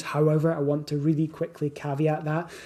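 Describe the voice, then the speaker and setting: Speaking at a fairly quick pace in a Scottish accent, a man with a fairly high pitch has a dark, mellow tone and a somewhat breathy sound. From Scotland. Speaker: weight loss coach. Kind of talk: podcast monologue. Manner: casual, with fillers and self-corrections.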